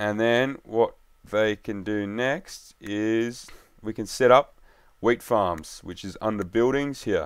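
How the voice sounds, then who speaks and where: Recorded very cleanly against a silent background, a man speaks in a plain, everyday voice. His pitch is medium, with ordinary pitch variation. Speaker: gaming youtuber. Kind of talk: gameplay commentary. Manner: casual.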